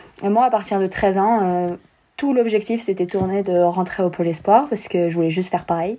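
At a fairly quick pace, a woman uses an ordinary speaking voice with a medium pitch and ordinary pitch variation. The recording is very clean, with a silent background. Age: 20s. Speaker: professional snowboarder. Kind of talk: interview.

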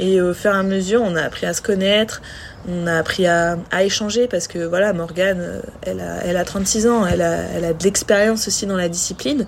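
A woman at a medium pitch and a fairly quick pace. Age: 20s. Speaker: professional cross triathlete. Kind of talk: casual interview. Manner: halting, many repetitions and fillers.

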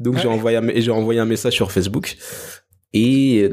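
A man's medium-pitched, ordinary speaking voice at a moderate pace. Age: 20s. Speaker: musician and dancer. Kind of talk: interview conversation.

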